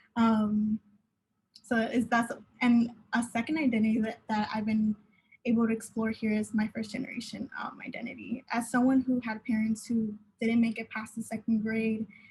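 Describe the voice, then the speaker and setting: A woman with an American accent speaks at a moderate pace, her voice somewhat breathy. Her pitch is fairly high, her intonation flat and monotone. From Southern California (Pomona). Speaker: university student panelist. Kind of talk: panel discussion. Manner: halting, many fillers.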